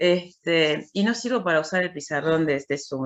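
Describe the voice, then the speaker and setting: Speaking at a moderate pace, a woman uses a very deep, low pitch. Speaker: university lecturer. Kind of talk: lecture. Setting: video call.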